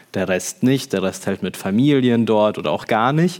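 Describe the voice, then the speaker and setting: A man in a plain, everyday voice, medium in pitch, with lively intonation. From Ukraine (Kharkiv), raised in Germany from childhood. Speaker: youth worker and community leader. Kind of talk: panel discussion. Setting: stage with audience.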